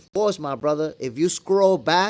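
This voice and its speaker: A man with a New York accent talks at a moderate pace in a high pitch with lively intonation, on a very clean recording with a silent background. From New York (moved from Dominican Republic at eight). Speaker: boxing commentator, channel host. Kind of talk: live stream chat answering viewer questions. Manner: casual, conversational.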